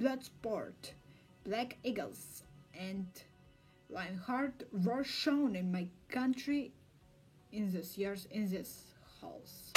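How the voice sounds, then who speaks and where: A woman with a Russian accent speaks at a very slow pace, leaving long, frequent pauses. Her pitch is fairly high with ordinary variation, and music plays in the background. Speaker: film researcher. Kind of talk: casual talk to camera.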